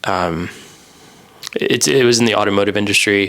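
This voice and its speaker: At a moderate pace, a man with an American accent and a fairly low pitch speaks over noticeable background noise. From US, Idaho. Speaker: podcast co-host, software engineer. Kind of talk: casual chat.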